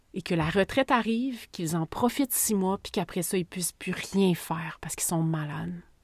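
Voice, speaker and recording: A somewhat breathy woman with a Quebec accent at a fairly quick pace, on a very clean recording with a silent background and a dry, close sound with no echo. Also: medium pitch for a woman, ordinary pitch variation. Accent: Québécois French. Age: 40s. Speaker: podcast host. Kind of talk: casual monologue. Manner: hesitant, with fillers.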